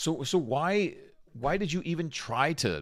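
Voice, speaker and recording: A man speaks in an animated tone at a fairly high pitch, with vocal fry. The recording is very clean, with a silent background. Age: 40s. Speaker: live stream host. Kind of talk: reaction commentary.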